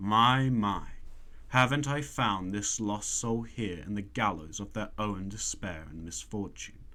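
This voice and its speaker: Putting on a croaky character voice, a man talks at a fairly slow pace with a fairly low pitch. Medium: read story. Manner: smooth, persuasive.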